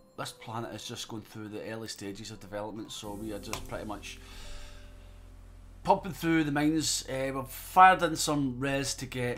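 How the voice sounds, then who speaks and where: Speaking in a Scottish accent over music in the background, a man uses lively intonation at medium pitch and a moderate pace, with big swings in loudness. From Scotland, Glasgow area. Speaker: gaming streamer. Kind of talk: live gameplay stream commentary. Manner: casual, conversational.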